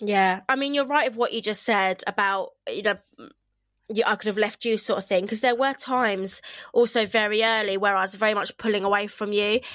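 Speaking in a southern English accent, a woman keeps a fairly high pitch and fairly even intonation on a very clean recording with a silent background. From England, Kent. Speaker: podcast host. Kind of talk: casual chat. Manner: fast talker; loud.

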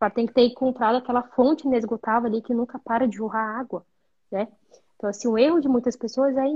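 A woman speaks at a fairly quick pace with a high pitch. Her intonation is fairly even. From Brazil, interior of Amazonas. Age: 20s. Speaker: psychologist. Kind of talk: casual interview.

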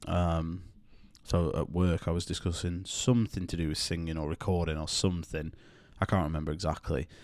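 A man's very deep, low voice with a British accent, fairly quick in pace and fairly even in intonation, in a very clean recording with a silent background. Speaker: podcast co-host. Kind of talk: casual chat. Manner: joking, self-deprecating.

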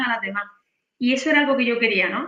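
This woman talks at a fairly quick pace in a high pitch. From Spain, Granada (Andalusia). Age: 40s. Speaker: sales closer. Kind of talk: interview. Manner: animated.

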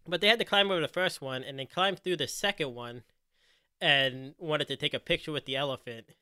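A normal speaking voice from a man with an American accent, fairly high in pitch, fairly quick, with lively intonation. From US Northeast, Philadelphia. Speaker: podcast host. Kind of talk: casual chat.

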